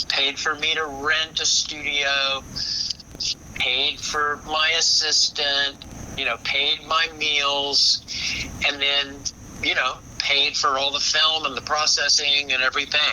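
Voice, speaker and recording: At a very slow pace, a man with a fairly high voice speaks in a monotone, flat intonation at very even loudness, taking long, frequent pauses over noticeable background noise. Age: 70s. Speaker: photographer. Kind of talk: casual interview.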